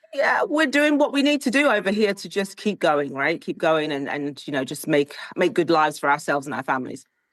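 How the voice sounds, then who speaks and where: Her pitch swinging very widely, a woman with a British accent talks at a fairly quick pace with hardly any pauses. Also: fairly low pitch for a woman. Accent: British, very proper. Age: middle-aged. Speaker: style coach, tech executive. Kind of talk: interview conversation.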